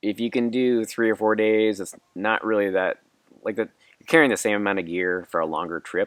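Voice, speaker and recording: In a normal speaking voice, a man talks with ordinary pitch variation and big swings in loudness. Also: fairly low pitch for a man, fairly quick pace. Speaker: backpacker. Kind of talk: interview answer.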